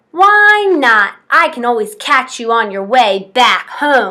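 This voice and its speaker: A woman bellows loudly in a put-on character voice, high in pitch with very wide pitch swings. She keeps a fairly slow pace. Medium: read story. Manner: loud, roaring, bullying.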